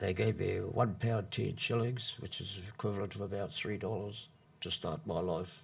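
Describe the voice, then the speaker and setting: A fairly slow, fairly low-pitched male voice with vocal fry and a New Zealand accent. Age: 70s. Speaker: former long-term prisoner. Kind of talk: public talk. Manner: halting.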